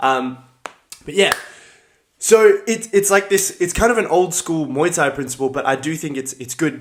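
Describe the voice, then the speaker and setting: A man with an Australian accent speaks at a moderate pace and a fairly high pitch. His intonation is lively, and he takes long, frequent pauses. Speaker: martial arts fighter and livestreamer. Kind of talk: casual live stream chat. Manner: casual, filler-heavy.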